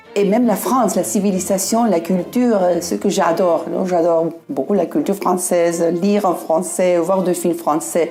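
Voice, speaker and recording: With music in the background, the voice keeps a moderate pace, very even loudness and ordinary pitch variation. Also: woman, medium pitch for a woman. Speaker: French speaker, local resident. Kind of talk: testimony. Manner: halting.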